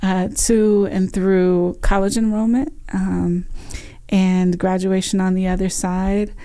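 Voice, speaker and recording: Amid audible room echo, a woman speaks very slowly at a medium pitch in a dark, mellow tone with fairly even intonation. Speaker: nonprofit executive director. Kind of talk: interview conversation.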